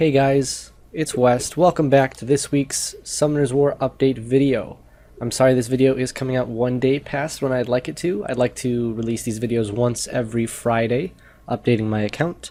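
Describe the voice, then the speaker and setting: In a dark, mellow tone, a man talks at a moderate pace with fairly even intonation. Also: medium pitch for a man. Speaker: gaming YouTuber. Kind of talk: game progress update video. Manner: casual, with filler words.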